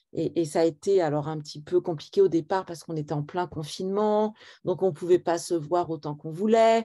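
Against a quiet background, a dark, mellow voice moves at a fairly quick pace with ordinary pitch variation and big swings in loudness. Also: woman, fairly low pitch for a woman. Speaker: book publisher. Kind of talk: literary interview. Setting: video call. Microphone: unstable connection, froze.

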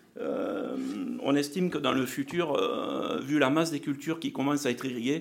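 Here a man speaks at a fairly high pitch with ordinary pitch variation. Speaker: agricultural R&D manager. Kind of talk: conference presentation.

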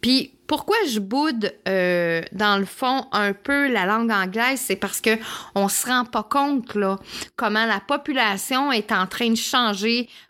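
A woman with a Quebec accent speaks very slowly in a fairly high pitch, her bright, sharp tone carried by lively intonation. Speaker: podcast host and holistic therapist. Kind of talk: personal storytelling monologue. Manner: hesitant with fillers.

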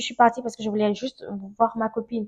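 A woman speaking at a very fast pace against a quiet background. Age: 20s. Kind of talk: testimony. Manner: casual, laughs often.

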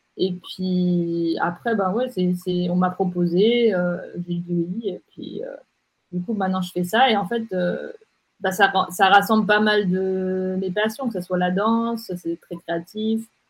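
Somewhat breathy, a woman of medium pitch talks at a very slow pace with fairly even intonation. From Geneva, Switzerland. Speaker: digital strategy agency director and blogger. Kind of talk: interview.

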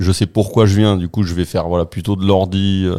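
Recorded very cleanly against a silent background, a man speaks at a moderate pace in a fairly low, dark, mellow voice with monotone, flat intonation. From northern France, raised in Marseille. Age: 40s.

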